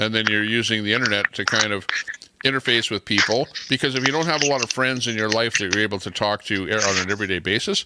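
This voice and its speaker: Very fast, fairly low-pitched man with ordinary pitch variation against noticeable background noise. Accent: Canadian. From Canada. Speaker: live stream host. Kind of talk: casual chat. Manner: loud.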